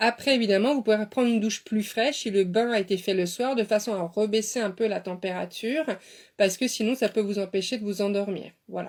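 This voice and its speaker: On a very clean recording with a silent background, a woman with a fairly high pitch speaks at a fairly quick pace. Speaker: beautician and dietitian. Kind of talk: live stream talk. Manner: fast; animated.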